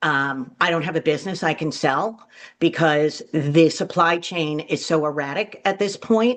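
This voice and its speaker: A woman's ordinary speaking voice, fairly low in pitch, with ordinary pitch variation at a moderate pace. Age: 60s. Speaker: small business owner. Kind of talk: media briefing. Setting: video call.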